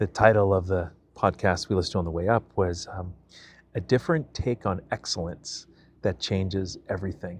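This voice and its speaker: Over a quiet background, a man talks at a fairly quick pace in a very deep, low pitch, somewhat breathy, with fairly even intonation. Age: 50s. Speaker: vlogger. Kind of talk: personal vlog monologue. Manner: casual, with many fillers.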